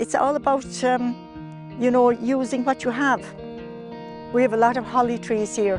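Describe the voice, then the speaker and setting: A woman with a Kerry accent at a fairly slow pace, music in the background. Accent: Irish, Kerry. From Ireland. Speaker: sheep farmer. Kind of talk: interview answer. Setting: outdoors.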